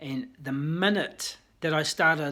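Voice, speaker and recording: A man speaks with a New Zealand accent at a fairly high pitch. His intonation stays fairly even. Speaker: vlogger in addiction recovery. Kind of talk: personal testimony vlog. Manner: casual, hesitant with fillers.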